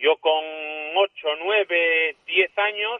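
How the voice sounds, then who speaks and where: A man talks with a high pitch. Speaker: fisherman. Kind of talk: interview. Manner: halting.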